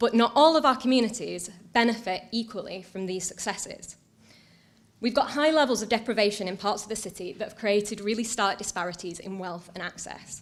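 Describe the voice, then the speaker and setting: A woman with a Mancunian accent speaks at a fairly quick pace with ordinary pitch variation. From Manchester, northern England. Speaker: council digital strategy officer. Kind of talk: conference talk. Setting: stage with audience.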